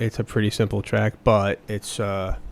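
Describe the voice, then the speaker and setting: A man speaks with a fairly low pitch. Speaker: student music producer. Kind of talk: tutorial. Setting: at home late at night. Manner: soft-spoken; casual, rambling.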